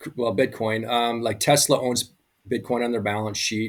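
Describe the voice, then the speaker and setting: The man's voice sits at a medium pitch. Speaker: crypto enthusiast guest. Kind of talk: casual chat. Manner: fast.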